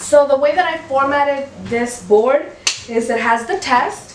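This woman talks fairly slowly while noticeable noise fills the background. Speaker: mom vlogger. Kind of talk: casual vlog chat. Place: home room.

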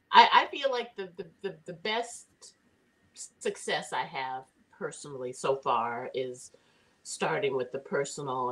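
A woman with an American accent and a very deep, low pitch, at a fairly slow pace, with long, frequent pauses and big swings in loudness. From Los Angeles. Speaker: community food volunteer; interview guest. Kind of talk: personal testimony. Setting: video call. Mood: warm, animated. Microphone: video call.

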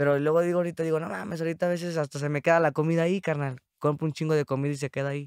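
Against a quiet background with a dry, echo-free sound, a man talks at a very fast pace in a fairly high pitch with ordinary pitch variation. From Mexico, San Luis Potosí. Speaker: rapper; podcast guest. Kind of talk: casual chat. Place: studio. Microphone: studio mic.

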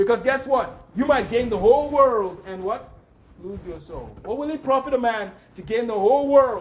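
An extremely high-pitched male voice against noticeable background noise. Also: ordinary pitch variation, moderate pace, big swings in loudness. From Nigeria. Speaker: preacher. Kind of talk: sermon.

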